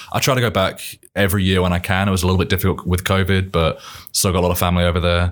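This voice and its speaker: Over a very clean recording with a silent background, a man with an English accent speaks very fast in a very deep, low pitch, monotone and flat, at very even loudness. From England, Milton Keynes. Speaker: military training coordinator. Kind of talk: casual chat.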